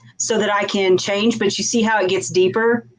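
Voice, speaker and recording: Through noticeable background noise, a woman with a Southern US accent talks at a moderate pace and medium pitch, with very wide pitch swings. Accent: hillbilly Southern, stronger when excited. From rural US South. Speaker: crafter, YouTuber. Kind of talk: casual chat.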